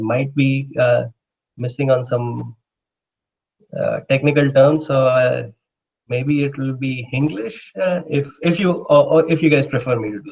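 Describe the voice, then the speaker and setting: Somewhat breathy and fairly high for a man, his voice moves at a fairly slow pace with long, frequent pauses and big swings in loudness. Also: ordinary pitch variation. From India. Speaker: astrophysicist. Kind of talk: lecture. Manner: hesitant, many filler words.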